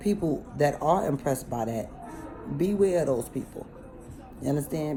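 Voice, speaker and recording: A woman with a very deep, low voice speaks at a moderate pace in an animated tone with lively intonation, music playing behind her. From New York City (Bronx and Harlem). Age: 40s. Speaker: vlogger. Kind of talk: casual monologue.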